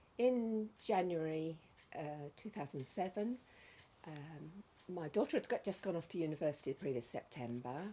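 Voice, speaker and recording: A somewhat breathy voice with a dark, mellow tone, lively intonation and a moderate pace. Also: woman, fairly low pitch for a woman. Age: 60s. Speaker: retired volunteer. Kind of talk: testimony. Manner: hesitant, many ums.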